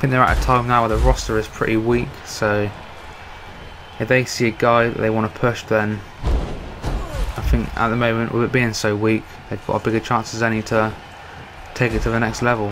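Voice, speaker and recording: A man at a medium pitch and moderate pace, monotone and flat in intonation, with music in the background. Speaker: gaming YouTuber doing wrestling commentary. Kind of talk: casual video commentary.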